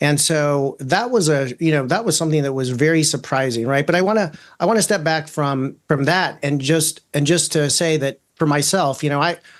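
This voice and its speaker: Against a quiet background, a man speaks at a moderate pace with hardly any pauses. His pitch is fairly high with ordinary variation, and his loudness is very even. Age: 50s. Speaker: attorney. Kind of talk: interview. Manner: halting, many fillers and repeats.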